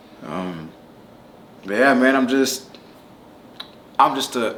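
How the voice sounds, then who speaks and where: A medium-pitched man with an American accent speaks at a fairly slow pace, with audible room echo. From Southern California (Palmdale). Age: 30s. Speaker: rapper. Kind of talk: casual interview. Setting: Las Vegas. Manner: casual, with fillers and repetitions.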